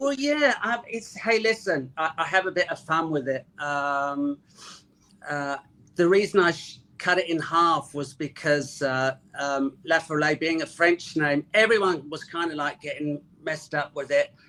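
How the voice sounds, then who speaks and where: A man with a London accent speaks at a fairly slow pace and fairly high pitch, in a bright, sharp tone with ordinary pitch variation. The recording is very clean with a silent background. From North London. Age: 60s. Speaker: rock drummer. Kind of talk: interview.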